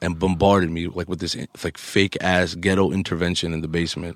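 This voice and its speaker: A man with a New York accent speaks at a fairly quick pace in a very deep, low pitch. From Queens, New York, US. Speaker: DJ and podcast co-host. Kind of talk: casual chat.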